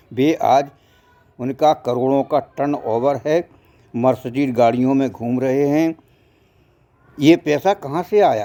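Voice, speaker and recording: The man's voice sits at a fairly high pitch with a dark, mellow tone. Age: 70s. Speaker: social commentator. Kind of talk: moral monologue.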